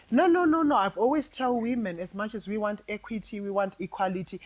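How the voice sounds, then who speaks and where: Lively intonation runs through speech at a fairly quick pace. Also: woman. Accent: Zimbabwean. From Zimbabwe. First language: Shona. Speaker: podcast guest, ex-feminist. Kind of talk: casual chat.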